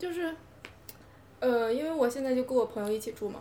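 A woman speaks at a very fast pace. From Hebei. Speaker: podcast guest. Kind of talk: casual chat.

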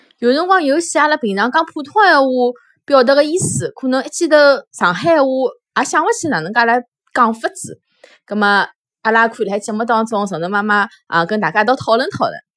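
A woman with a Shanghai accent, high-pitched and fairly quick, with very wide pitch swings, on a very clean recording against a silent background. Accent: Shanghainese speaker. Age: 30s. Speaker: children's storytelling podcaster. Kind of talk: channel introduction monologue.

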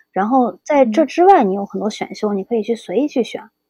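Somewhat breathy and fairly high, a woman's voice carries a dark, mellow tone and ordinary pitch variation. She talks at a fairly quick pace, the sound dry and close with no echo. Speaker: graphic design PhD student. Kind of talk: casual interview chat.

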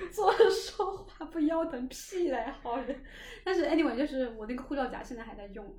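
Amid audible room echo, a woman with a high voice speaks at a moderate pace, with big swings in loudness and very wide pitch swings. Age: 20s. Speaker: podcast host. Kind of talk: casual chat.

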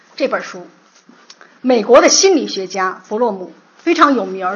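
Her pitch fairly high with very wide swings, a woman talks at a moderate pace. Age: 50s. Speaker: literature lecturer. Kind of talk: lecture.

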